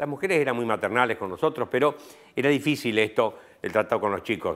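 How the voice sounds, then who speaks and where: A man with an Argentine accent, talking at a very fast pace with ordinary pitch variation. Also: medium pitch for a man, very clean recording, silent background. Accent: Argentine Spanish (voseo). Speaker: professor. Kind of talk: interview.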